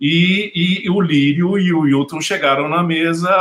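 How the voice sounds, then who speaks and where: This man has a high pitch and fairly even intonation, speaking at a fairly slow pace. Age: 50s. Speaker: film critic. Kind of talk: panel discussion. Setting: video call.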